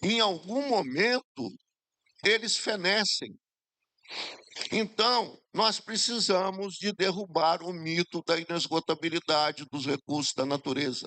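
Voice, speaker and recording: A man speaks very slowly in a high pitch with a bright, sharp tone and lively intonation. The sound is dry and close with no echo. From Espírito Santo, Brazil (Jerônimo Monteiro area). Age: 70s. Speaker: former government minister, speaker. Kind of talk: forum talk.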